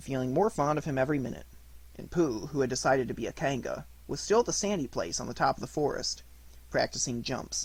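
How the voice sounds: A natural reading voice, its intonation lively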